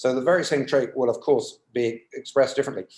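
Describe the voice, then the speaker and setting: This man's voice sits fairly high and has a dark, mellow tone. His pitch varies in an ordinary way. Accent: British. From UK. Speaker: psychology professor. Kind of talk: interview. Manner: hesitant, many fillers.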